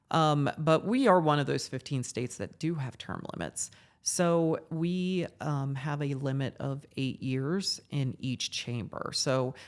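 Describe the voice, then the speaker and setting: A woman's very deep, low voice at a fairly slow pace with hardly any pauses. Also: ordinary pitch variation. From US Midwest, Ohio. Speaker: podcast co-host, policy expert. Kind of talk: conversational explainer podcast. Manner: casual with frequent fillers and restarts.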